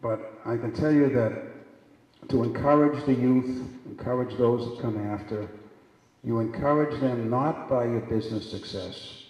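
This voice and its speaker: A man's moderate pace and fairly even intonation come through with audible room echo and noticeable background noise. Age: 70s. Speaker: keynote speaker, business executive. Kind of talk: keynote speech. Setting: stage with audience. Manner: repetitive, halting.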